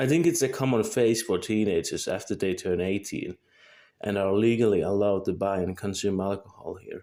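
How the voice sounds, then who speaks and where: In a very clean recording with a silent background, a man speaks at a fairly quick pace with a fairly low pitch, ordinary pitch variation and a dark, mellow tone. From Finland. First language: Finnish. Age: 20s. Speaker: vlogger. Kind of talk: scripted monologue. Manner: halting.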